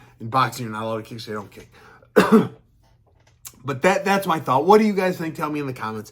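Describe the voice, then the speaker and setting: In a put-on character voice, a man speaks raspily at a fairly quick pace, pitched fairly high for a man, with big swings in loudness and very wide pitch swings. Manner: talking fast.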